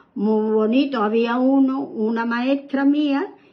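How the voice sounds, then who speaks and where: Amid noticeable background noise and audible room echo, a woman with a fairly high pitch speaks with ordinary pitch variation. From southern Spain, Málaga province. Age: 80s+. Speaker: grandmother interviewed about her childhood. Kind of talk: oral history interview. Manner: halting, with repetitions.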